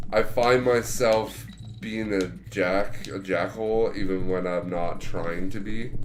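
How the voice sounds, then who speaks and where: A man speaks at a fairly slow pace in a fairly low pitch. Audible room echo surrounds his voice. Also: ordinary pitch variation. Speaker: podcast co-host. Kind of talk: casual chat while gaming.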